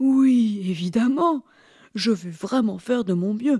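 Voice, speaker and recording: A female-sounding voice puts on a character voice at a fairly high pitch and a fairly slow pace. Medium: read story. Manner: warm, jovial.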